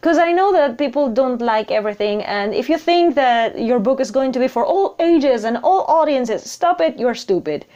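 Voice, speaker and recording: A woman with a non-native accent talks at a moderate pace in a high voice with a dark, mellow tone. Her intonation is lively and her loudness stays very even. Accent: noticeable non-native English. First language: not English. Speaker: writer and video blogger. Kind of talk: casual vlog monologue. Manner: hesitant, with repeated words.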